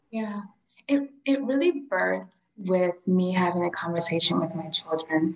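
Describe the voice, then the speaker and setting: In an American accent, a woman talks at a fairly slow pace with lively intonation and medium pitch, in a normal speaking voice. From Central Florida. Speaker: holistic therapist. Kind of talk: casual chat.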